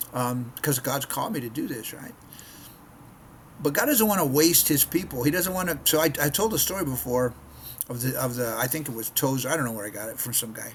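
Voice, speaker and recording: Over noticeable background noise, a man with an American accent talks at a fairly quick pace and a fairly high pitch, with lively intonation and big swings in loudness. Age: 60s. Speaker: missionary preacher. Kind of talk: casual devotional talk to camera. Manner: conversational with frequent repetitions.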